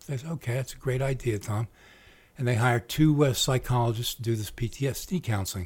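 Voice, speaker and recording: Somewhat breathy and medium in pitch, a man talks at a fairly quick pace with ordinary pitch variation in a very clean recording against a silent background. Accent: American. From Trenton, New Jersey. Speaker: war veteran. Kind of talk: interview storytelling.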